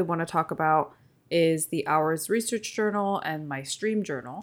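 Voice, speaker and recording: A woman with a Californian accent at a fairly slow pace, in a very clean recording with a silent background. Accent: general American, Californian. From Seoul, South Korea, moved to California at 11. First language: Korean. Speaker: podcast host, stationery streamer. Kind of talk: casual chat.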